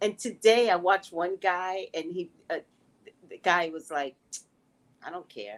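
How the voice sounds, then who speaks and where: At a fairly slow pace, a woman of medium pitch speaks in an animated tone, with ordinary pitch variation, big swings in loudness and long, frequent pauses. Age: 60s. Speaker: psychic tarot reader. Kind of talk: casual chat. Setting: live stream.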